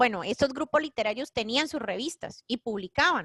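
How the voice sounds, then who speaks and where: Lively intonation marks this moderate-paced speech, recorded dry and close with no echo. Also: woman. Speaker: school teacher. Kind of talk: online class lecture. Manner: halting, many fillers.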